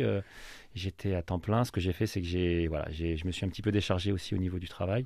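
A man's very deep, low voice with a dark, mellow tone, ordinary pitch variation and a fairly quick pace over a quiet background. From France, Loiret (grew up there from young age). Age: 30s. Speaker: football coach. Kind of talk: radio interview. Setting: radio studio. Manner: hesitant, many fillers.

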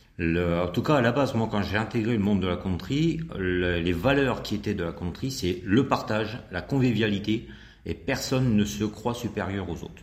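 Amid audible room echo, a man with a fairly low pitch speaks at a moderate pace with ordinary pitch variation. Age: 50s. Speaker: country dance instructor. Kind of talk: radio interview.

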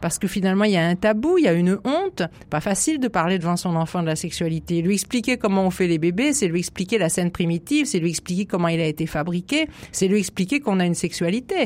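A woman at medium pitch talks at a very fast pace with lively intonation. Her loudness stays very even. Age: 60s. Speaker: psychoanalyst and author. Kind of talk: radio interview. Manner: animated.

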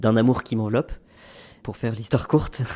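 This man has a normal speaking voice at a medium pitch, with fairly even intonation. The recording is very clean and the background silent. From France, Haute-Savoie. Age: 30s. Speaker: NGO climate advocate. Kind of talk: testimony.

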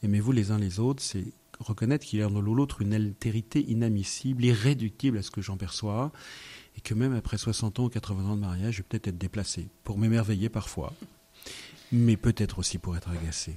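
Somewhat breathy, this man's voice has a dark, mellow tone, a fairly low pitch and ordinary pitch variation. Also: very clean recording, silent background. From France, Yvelines (Paris region). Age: 50s. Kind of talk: radio interview. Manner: halting, repeats words.

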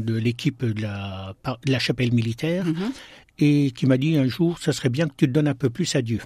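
On a very clean recording with a silent background, a man with a dark, mellow tone and a somewhat breathy, medium-pitched voice uses ordinary pitch variation. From eastern France, Besançon (Franche-Comté). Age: 60s. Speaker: deacon and hospital chaplain. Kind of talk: radio interview. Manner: halting.

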